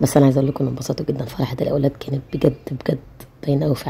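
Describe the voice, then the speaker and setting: A woman's very deep, low voice at a very fast pace. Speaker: family vlogger, mother. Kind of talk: vlog voiceover narration. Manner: casual, chatty.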